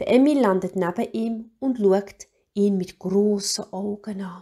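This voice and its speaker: A woman with a Swiss German accent talks at a very slow pace and medium pitch. Her tone is dark, mellow and somewhat breathy, with ordinary pitch variation. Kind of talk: children's story reading.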